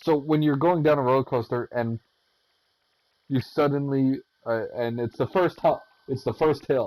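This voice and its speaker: A man speaks with fairly even intonation and long, frequent pauses. The sound is dry and close with no echo. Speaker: gaming tutorial creator. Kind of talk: tutorial. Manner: fast; halting.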